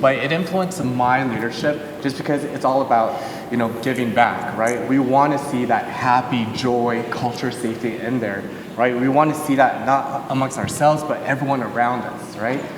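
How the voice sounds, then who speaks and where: Audible room echo surrounds a man with a Californian accent. He speaks at a moderate pace and medium pitch. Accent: Californian American. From Southern California, Los Angeles. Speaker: panelist, business leader. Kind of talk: live panel discussion.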